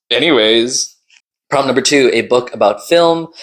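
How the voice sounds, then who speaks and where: A man speaks at a moderate speed on a very clean recording, the background silent. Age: 20s. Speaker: booktuber and media video maker. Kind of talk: casual vlog talk. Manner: animated.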